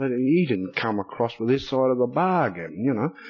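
This man speaks in an Australian accent. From Queensland, Australia. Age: 30s. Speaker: recovering alcoholic speaker. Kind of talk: testimony. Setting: stage with audience.

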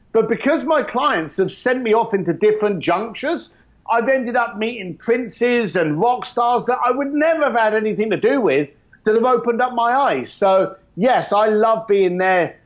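A man with a high pitch talks at a moderate pace, with lively intonation and very even loudness. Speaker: custom motorcycle builder. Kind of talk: casual interview chat.

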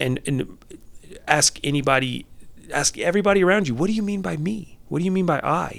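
A man's fairly high-pitched, fairly quick delivery in a normal speaking voice. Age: 40s. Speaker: life coach and former therapist. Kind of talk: casual interview conversation.

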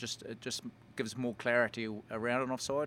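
A man speaks with a New Zealand accent in a medium pitch. His intonation is monotone and flat. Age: 40s. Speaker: rugby referee and former player. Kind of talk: casual interview.

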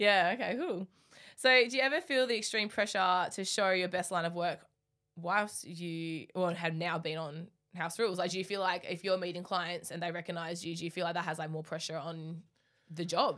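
A woman with an Australian accent talks at a moderate pace, with a fairly low pitch, ordinary pitch variation, and a bright, sharp tone. The recording is very clean, with a silent background. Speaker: podcast host, bricklayer. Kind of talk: casual interview chat.

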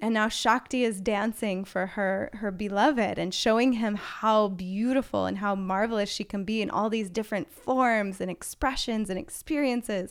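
An unremarkable speaking voice belongs to a woman with fairly high pitch. She talks at a moderate pace with ordinary pitch variation and hardly any pauses. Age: 30s. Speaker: tantra teacher. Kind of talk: casual chat.

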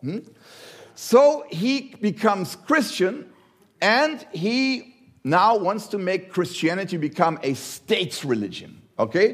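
Speaking at a very slow pace with a German accent, a man uses a high pitch and very wide pitch swings. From Germany. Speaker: visiting preacher. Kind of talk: sermon. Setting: church. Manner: halting.

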